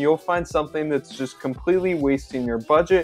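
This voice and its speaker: A man's voice with ordinary pitch variation over faint music in the background. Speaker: online business tutor. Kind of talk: tutorial. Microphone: webcam.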